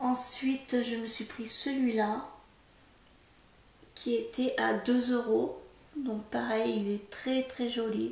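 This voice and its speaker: A woman speaks softly at a very slow pace with long, frequent pauses. Audible room echo and noticeable background noise surround her voice. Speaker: haul vlogger. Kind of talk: casual product haul vlog. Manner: soft-spoken; hesitant, many fillers.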